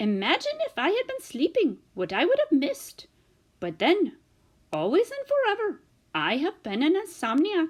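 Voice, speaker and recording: Doing a put-on character voice, a woman speaks at an extremely high pitch with very wide pitch swings. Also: moderate pace. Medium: read story. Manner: rambling, formal foreign phrasing.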